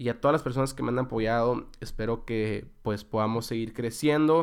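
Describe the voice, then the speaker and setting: Speaking with a Mexican accent, a man keeps a medium pitch and a moderate pace. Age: 20s. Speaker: podcast host. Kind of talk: solo podcast monologue. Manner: casual, with frequent fillers and repetitions.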